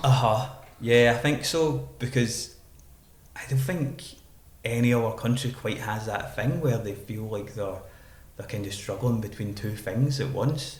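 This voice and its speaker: A man with a Glaswegian accent speaks at a fairly slow pace, his medium pitch showing ordinary variation. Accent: Glaswegian Scottish. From Glasgow, Scotland. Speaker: poet and spoken word artist. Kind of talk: podcast interview answer.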